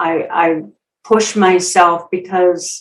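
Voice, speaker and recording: A woman with a Minnesotan accent speaks at a fairly low pitch. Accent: Minnesota. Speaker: public speaker and storyteller. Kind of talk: interview.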